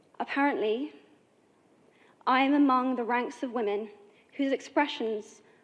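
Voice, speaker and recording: High in pitch, a woman with an English accent speaks at a fairly slow pace. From England. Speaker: actress and activist. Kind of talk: formal speech to an assembly.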